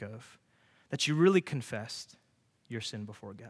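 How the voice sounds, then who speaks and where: A man's medium-pitched voice with lively intonation, at a moderate pace, in a very clean recording with a silent background. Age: 20s. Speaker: youth pastor. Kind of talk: sermon. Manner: casual, many fillers.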